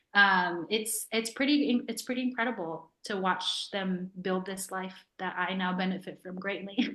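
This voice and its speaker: A woman with an American accent has a normal speaking voice at a medium pitch, speaking at a fairly slow pace with ordinary pitch variation and hardly any pauses. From New York. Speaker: author. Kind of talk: interview. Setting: video call.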